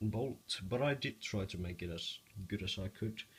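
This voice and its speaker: Speaking with a non-native accent, a man keeps his fairly low voice in a fairly even intonation. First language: not English. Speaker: hobby Lego builder. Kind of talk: casual demo of a build to camera. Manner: stuttering.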